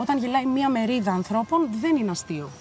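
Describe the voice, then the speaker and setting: Against a quiet background, the animated voice swings very widely in pitch. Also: woman. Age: 20s. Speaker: comedic political commentary host. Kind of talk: comedic monologue. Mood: ironic, humorous. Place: home room. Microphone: studio mic.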